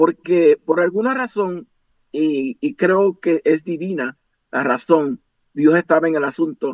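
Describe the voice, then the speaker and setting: A man with a high pitch and an English accent talks at a very slow pace with lively intonation. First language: English (speaking Spanish). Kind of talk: interview.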